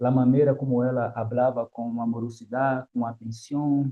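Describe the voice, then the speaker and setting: A man's medium-pitched voice with a Brazilian accent, monotone and flat in intonation. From Brazil, Salvador, Bahia. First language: Portuguese (speaking Spanish). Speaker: academic guest. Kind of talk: interview. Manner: halting.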